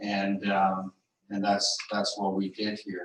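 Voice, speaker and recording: Talking at a very slow pace with monotone, flat intonation, a man with a Great Lakes accent speaks at a fairly low pitch. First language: Anishinaabe. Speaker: legal advisor. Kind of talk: panel talk. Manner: halting, many fillers.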